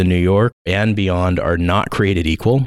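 In a Southern California accent, a man speaks with a very deep, low pitch at a moderate pace. The recording is very clean with a silent background. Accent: Southern Californian American English. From US West Coast. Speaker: educator and school consultant. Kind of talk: podcast interview.

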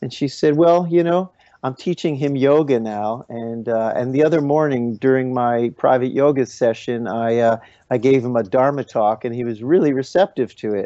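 A man uses a normal speaking voice at a medium pitch, moving at a moderate pace with ordinary pitch variation. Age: 50s. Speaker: kirtan musician. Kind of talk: interview conversation.

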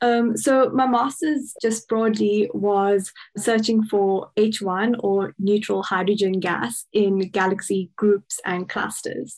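A woman's medium-pitched voice, very slow, with fairly even intonation. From South Africa, Cape Town. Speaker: astronomy PhD student. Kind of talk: interview.

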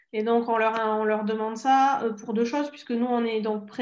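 A woman's fairly high voice with a southern French accent, monotone and flat, at a moderate pace. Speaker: Spanish teacher and blogger. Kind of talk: interview. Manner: hesitant, many fillers.

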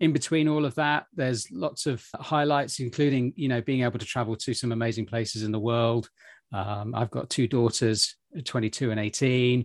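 A man with a British accent at a medium pitch and moderate pace, ordinary pitch variation, in a dry, close sound with no echo. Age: 50s. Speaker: podcast host and travel entrepreneur. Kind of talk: interview conversation.

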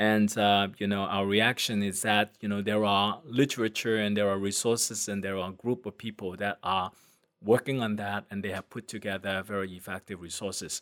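A man talks at a moderate pace and a fairly low pitch. His intonation is monotone and flat. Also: very clean recording, silent background. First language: not English. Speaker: transportation safety researcher. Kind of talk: casual interview.

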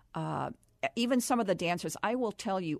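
A woman's voice, dry and close with no echo. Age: 60s. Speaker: film producer and publisher. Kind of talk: interview. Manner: animated.

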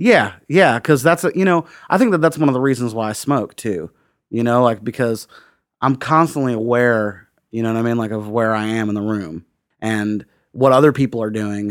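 Spoken with an American accent at a moderate pace, the voice carries lively intonation on a very clean recording with a silent background. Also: man, medium pitch for a man. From US Midwest, Indiana (Bloomington). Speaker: singer-songwriter. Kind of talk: casual interview chat. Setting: quiet empty house.

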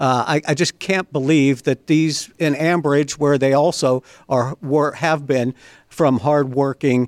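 A man with an American accent speaks in a plain, everyday voice, fairly high in pitch with ordinary pitch variation. His pace is fairly slow, and the sound is dry and close with no echo. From Western Pennsylvania (Beaver County). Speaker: podcast host. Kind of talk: political interview.

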